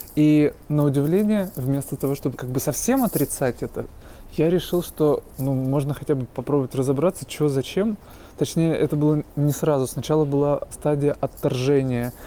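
A man's fairly high voice has a dark, mellow tone. He talks at a moderate pace with ordinary pitch variation. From Russia, Voronezh. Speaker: art project co-founder. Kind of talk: recorded monologue.

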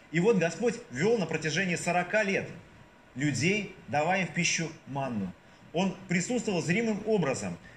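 A man talks in a high pitch with lively intonation. There is audible room echo and noticeable background noise. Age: 40s. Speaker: deacon preaching. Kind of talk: sermon. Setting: church. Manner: hesitant, frequent filler sounds.

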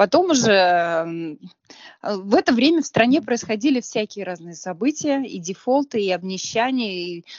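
A woman talks at a fairly slow pace with a fairly high pitch. Her pitch swings very widely, and her loudness rises and falls sharply. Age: 40s. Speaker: cafe owner. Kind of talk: interview.

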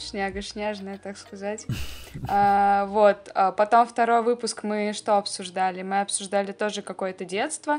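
In a very clean recording with a silent background, a woman with a normal speaking voice talks fairly slowly at a medium pitch with fairly even intonation. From Russia. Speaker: podcast co-host. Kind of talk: casual chat.

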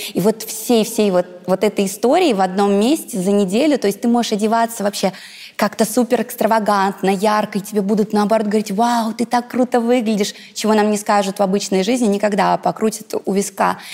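A fairly quick pace with fairly even intonation and very even loudness, music in the background. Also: woman, fairly high pitch for a woman. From Russia, Ivanovo region. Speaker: blogger and businesswoman. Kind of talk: interview.

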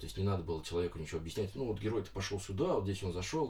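A man speaks very fast with vocal fry, a very deep, low pitch and ordinary pitch variation. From Moscow region, Russia (Lyubertsy). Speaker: comics artist. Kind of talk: interview. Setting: studio.

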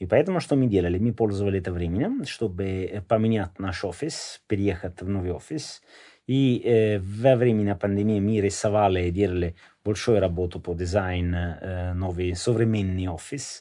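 A man with an Italian accent talks at a moderate pace with ordinary pitch variation and a fairly low pitch. His tone is dark and mellow, and the background is quiet. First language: Italian (speaking Russian). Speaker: company founder. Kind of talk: interview. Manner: halting.

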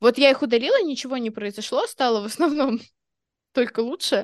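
A woman's high-pitched voice with ordinary pitch variation, dry and close with no echo, over a quiet background. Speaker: podcast co-host. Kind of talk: casual chat.

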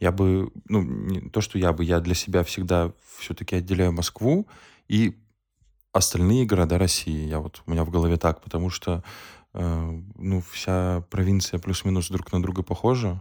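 A man's very deep, low voice with a dark, mellow tone at a moderate pace, on a very clean recording with a silent background. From northern Russia (Ukhta, Komi). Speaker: podcast co-host. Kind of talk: casual chat.

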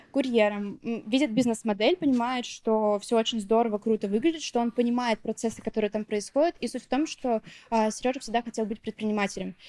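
A woman speaks at a fairly high pitch with a dark, mellow tone and ordinary pitch variation, in a dry, close sound with no echo. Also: fairly quick pace. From Bashkortostan, Russia. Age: 20s. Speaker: food business owner. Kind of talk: personal interview.

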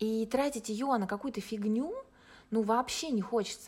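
Her voice is somewhat breathy, a woman speaking at a fairly high pitch with ordinary pitch variation. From Russia. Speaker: life coach. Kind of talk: podcast interview.

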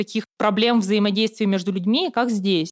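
A woman with a normal speaking voice talks at a moderate pace, her fairly high pitch captured in a dry, close sound with no echo. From Siberia, Russia. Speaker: former student union chair. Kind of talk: casual interview.

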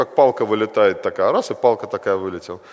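A man races along at a very fast pace amid noticeable background noise. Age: 40s. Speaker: preacher. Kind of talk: sermon.

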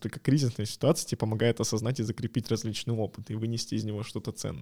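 This man's voice has a dark, mellow tone at a medium pitch. The sound is dry and close with no echo, in a very clean recording with a silent background. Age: 20s. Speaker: podcast co-host, product designer. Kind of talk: casual chat.

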